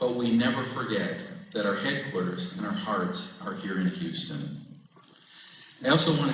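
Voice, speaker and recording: Over noticeable background noise, a man talks at a moderate pace. His medium pitch moves in very wide swings. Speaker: Army Reserve commanding general giving an assumption-of-command speech. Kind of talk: formal ceremony speech with light humor.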